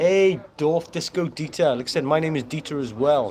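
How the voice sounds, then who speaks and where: A man with a Welsh accent speaks over noticeable background noise. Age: 50s. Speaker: fitness trainer, livestream host. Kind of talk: casual livestream chat. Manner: animated.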